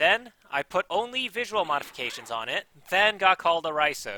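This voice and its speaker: Recorded very cleanly against a silent background, a man speaks at a moderate pace in a bright, sharp tone with a dry, close sound and no echo. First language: not English. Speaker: gaming YouTuber. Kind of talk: scripted gameplay commentary.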